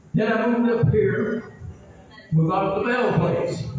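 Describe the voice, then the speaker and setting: A man with a high-pitched voice and an American accent, ordinary pitch variation, audible room echo, and music in the background. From US South, Marion County, Tennessee. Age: 90s. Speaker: local resident. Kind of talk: personal testimony. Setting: outdoor park meeting. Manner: rambling, emphatic.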